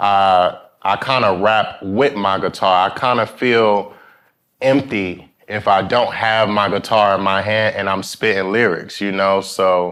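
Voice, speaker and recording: A man with an American accent and a normal speaking voice, fairly low in pitch, fairly slow and fairly even in intonation, over a quiet background. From New York, Brooklyn (East New York). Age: 20s. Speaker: rapper and guitarist. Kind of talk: casual interview. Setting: studio with live audience.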